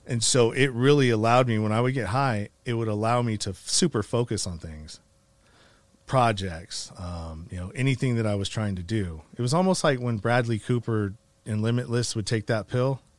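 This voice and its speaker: A man's unremarkable speaking voice, medium in pitch with ordinary pitch variation, at a moderate pace. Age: 40s. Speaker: nonprofit founder and podcaster, formerly incarcerated. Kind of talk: casual interview, personal life story.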